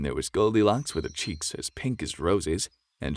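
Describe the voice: Plain reading aloud with lively intonation over a quiet background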